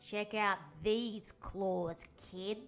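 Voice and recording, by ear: A female-sounding, raspy put-on character voice at medium pitch for a woman.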